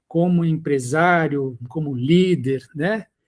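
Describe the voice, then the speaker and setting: A man's lively intonation comes through in a very clean recording with a silent background, the sound dry and close with no echo. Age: 60s. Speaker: psychologist and interviewer. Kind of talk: interview.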